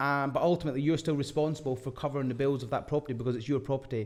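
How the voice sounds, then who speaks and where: With a Scottish accent, a man speaks at a very fast pace, his fairly high pitch held in fairly even intonation. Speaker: property investment podcast co-host. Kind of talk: casual chat.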